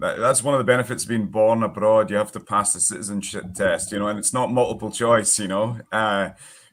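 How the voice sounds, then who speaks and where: A man's strong Scottish accent, fairly low-pitched, fairly quick with hardly any pauses and fairly even intonation, on a very clean recording with a silent background. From northeast Scotland, Forfar. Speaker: educator. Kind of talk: casual chat.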